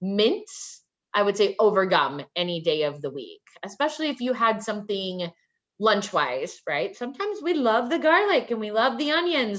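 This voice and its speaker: A woman speaks at a moderate pace in an animated tone, her pitch swinging very widely. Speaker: HR recruiter. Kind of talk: career advice presentation.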